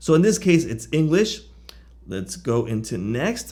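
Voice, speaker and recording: A man's fairly high voice with vocal fry, a fairly slow pace and very wide pitch swings. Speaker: software reviewer. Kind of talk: tutorial.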